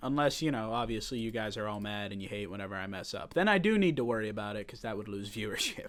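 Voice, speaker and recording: In a room with audible echo, a man talks at a very fast pace with hardly any pauses, his pitch fairly low with ordinary variation. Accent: American. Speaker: sports podcast host. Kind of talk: casual solo sports commentary. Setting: home studio set. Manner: animated.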